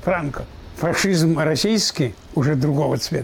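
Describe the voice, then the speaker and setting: A man talks with a fairly high pitch while noticeable noise fills the background. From Belarus. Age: 80s+. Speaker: war veteran. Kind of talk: interview testimony.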